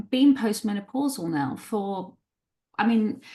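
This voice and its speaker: A woman's somewhat breathy, fairly high voice at a fairly slow pace. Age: 60s. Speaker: psychotherapist and writer. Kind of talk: interview conversation.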